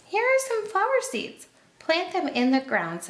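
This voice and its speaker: Putting on a squeaky character voice, a woman speaks at an extremely high pitch in a calm tone, at a moderate pace, with very wide pitch swings. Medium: read story. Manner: calm, patient.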